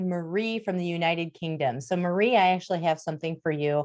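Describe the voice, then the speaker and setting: On a quiet background, a woman with a Wisconsin accent speaks in an animated tone. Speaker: diversity and inclusion speaker. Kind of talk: webinar presentation. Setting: video call.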